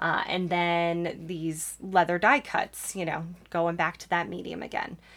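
A woman speaks at a fairly slow pace in a fairly low voice. Her loudness swings widely. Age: 30s. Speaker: podcast host and ADHD life coach. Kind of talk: solo podcast monologue. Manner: animated.

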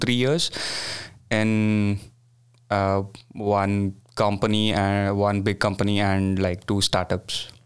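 Very slow in pace, the voice has an Indian accent. The loudness stays very even. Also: man. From India, Bangalore. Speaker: graduate student. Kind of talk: casual interview. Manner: hesitant, many fillers.

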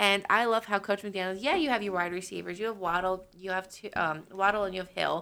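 A woman's bright, sharp, medium-pitched voice at a fairly quick pace, with fairly even intonation, hardly any pauses and a very clean recording with a silent background. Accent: American. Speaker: football fan. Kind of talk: casual chat.

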